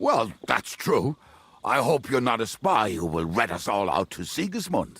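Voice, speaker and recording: A man performs a put-on character voice. His pitch sits at a medium level and swings very widely. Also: moderate pace. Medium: video game. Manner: blunt, coarse.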